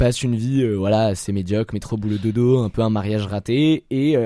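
Delivered at a moderate pace with ordinary pitch variation, the dark, mellow tone has a dry, close sound with no echo. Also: man. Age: young. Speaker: film podcast panelist, sound technician. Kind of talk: casual panel chat.

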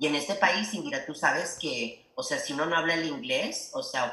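A man with a fairly high pitch and lively intonation is heard through noticeable background noise and audible room echo. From El Paso, Texas / Ciudad Juárez border region. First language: Spanish. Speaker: educational leader. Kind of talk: interview.

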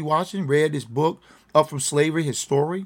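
Talking at a very fast pace with an American accent, a man is heard in a very clean recording with a silent background. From Virginia, US. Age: around 60. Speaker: podcast host. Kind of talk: solo commentary monologue. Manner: ad-libbed, hesitant with fillers. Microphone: trying new headphones.

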